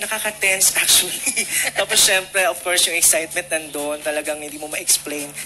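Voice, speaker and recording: With music playing behind it, the voice proceeds fairly quickly. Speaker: contestant singer, stand-up comedian. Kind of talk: personal testimony and interview.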